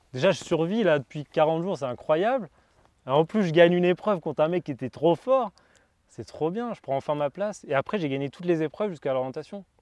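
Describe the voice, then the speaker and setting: Over a quiet background, a man talks at a fairly quick pace with a high pitch. His intonation is lively and the sound is dry and close with no echo. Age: 20s. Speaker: gardener and former reality TV contestant. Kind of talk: casual interview. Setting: outdoors.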